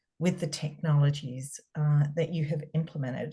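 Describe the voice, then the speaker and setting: In a strong Australian accent, a woman speaks at a moderate pace, her somewhat breathy voice dark and mellow in tone. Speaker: cybersecurity consultant. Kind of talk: webinar presentation. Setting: video call webinar.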